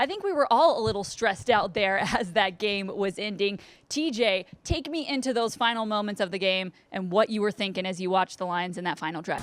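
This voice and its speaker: A woman talks at a very fast pace at a medium pitch. Her pitch varies in an ordinary way, with noticeable background noise behind her. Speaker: sports broadcaster. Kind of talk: sideline reporting and sports hosting.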